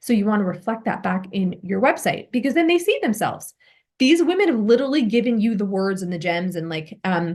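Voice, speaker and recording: The woman's voice is somewhat breathy. She moves at a fairly quick pace. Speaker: business and visibility coach. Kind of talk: one-on-one coaching session. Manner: fast.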